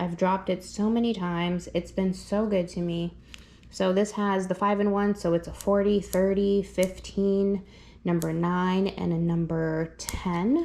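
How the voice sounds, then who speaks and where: A woman's medium-pitched voice, dark and mellow in tone, with monotone, flat intonation and a fairly slow pace. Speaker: dog groomer. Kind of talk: product walkthrough tutorial. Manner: loud; casual, filler-heavy.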